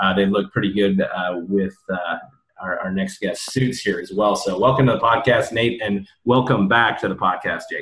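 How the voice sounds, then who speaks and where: This man has an unremarkable speaking voice, fairly low in pitch, with an American accent. He keeps a moderate pace and fairly even intonation. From US Midwest. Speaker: podcast host. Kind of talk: casual interview. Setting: remote recording.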